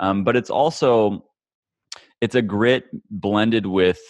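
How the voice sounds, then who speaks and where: A man's fairly low voice with a Midwestern American accent, fairly slow pace, dry, close sound with no echo, and a quiet background. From Kansas, US Midwest. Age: 20s. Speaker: former pro golfer and development coach. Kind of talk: interview.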